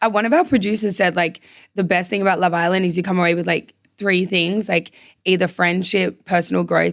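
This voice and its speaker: A woman speaks at a fairly quick pace in an Australian accent, with vocal fry. Her intonation is fairly even. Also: medium pitch for a woman, very even loudness. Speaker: reality TV contestant. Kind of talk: casual chat.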